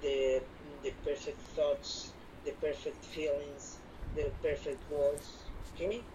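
Noticeable background noise accompanies a woman who talks at a very slow pace. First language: not English. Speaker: spiritual teacher. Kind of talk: one-on-one spiritual instruction. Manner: halting, many repetitions and fillers.

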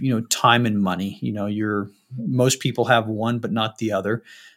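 A man with an American accent, medium pitch, and a moderate pace, in a very clean recording with a silent background. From Utah, Salt Lake City. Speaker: real estate investor, military veteran. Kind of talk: interview. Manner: halting.

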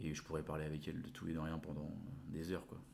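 A man's voice with audible room echo. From France, Le Mans and Nantes. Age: 20s. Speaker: cancer survivor sharing life story. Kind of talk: interview. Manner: hesitant, many fillers and repetitions.

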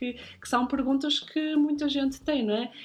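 Her pitch variation is ordinary and her pace moderate. The woman has an unremarkable speaking voice. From northern Portugal, Guimarães. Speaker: podcast host, style consultant. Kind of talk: casual chat.

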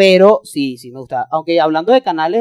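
A man with a Venezuelan accent at a fairly quick pace, in a dry, close sound with no echo. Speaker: podcast co-host, political scientist. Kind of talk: casual chat.

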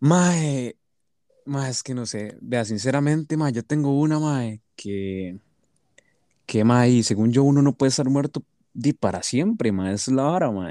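Lively in intonation, a man speaks with a dark, mellow tone, in a dry, close sound with no echo. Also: medium pitch for a man, fairly slow pace. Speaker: podcast guest. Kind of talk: casual chat.

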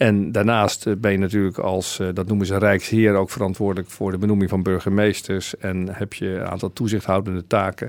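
On a very clean recording with a silent background, a man speaks fairly quickly with a fairly low pitch and monotone, flat intonation. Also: hardly any pauses. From Netherlands (Dordrecht). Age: 50s. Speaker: provincial governor. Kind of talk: radio interview.

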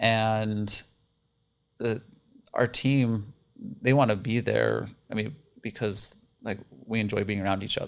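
Fairly low in pitch, a man talks with monotone, flat intonation and long, frequent pauses. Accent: American. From northeastern Utah (rural). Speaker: dentist and business owner. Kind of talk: casual interview chat. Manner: hesitant, many fillers.

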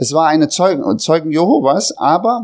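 The speaker is a man with a high-pitched voice. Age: 40s. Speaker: lay preacher. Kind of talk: sermon; testimony.

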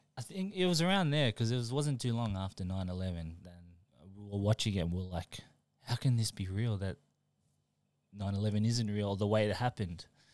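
Against a silent background in a very clean recording, a man with a fairly low voice and an Australian accent speaks at a fairly quick pace, with ordinary pitch variation and long, frequent pauses. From Melbourne, Australia, born in New Zealand. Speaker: high school friend of the host. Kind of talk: casual chat.

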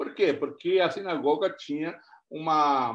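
A man speaks at a very slow pace. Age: 60s. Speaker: pastor. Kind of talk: sermon.

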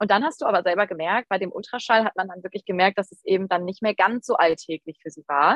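This is a woman with an unremarkable speaking voice. Her pitch is medium, with ordinary pitch variation. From Rhineland, near Düsseldorf. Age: 20s. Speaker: photographer and mother of twins. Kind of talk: casual interview chat.

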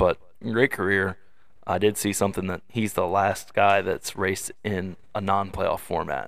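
An unremarkable speaking voice from a man, fairly low-pitched with fairly even intonation and a fairly slow pace, on a very clean recording with a silent background. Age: 20s. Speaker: racing podcast co-host and spotter. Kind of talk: casual chat.

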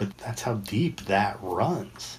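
Very slowly and somewhat breathily, a man talks at a fairly low pitch. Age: 50s. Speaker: addiction counselor and podcast host. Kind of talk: casual chat. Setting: online audio room, recorded with video.

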